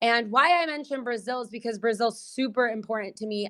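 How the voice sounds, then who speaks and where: With a Californian accent, the speaker talks at a fairly quick pace with ordinary pitch variation. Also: woman. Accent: American, California. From US, San Diego, California. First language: Portuguese. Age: 30s. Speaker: singer and PR entrepreneur. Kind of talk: podcast interview.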